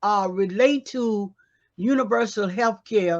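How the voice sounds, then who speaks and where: A woman speaks with an American accent at a very slow pace. The background is quiet. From United States. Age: 80s+. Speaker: pastor and activist. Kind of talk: panel discussion. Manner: halting.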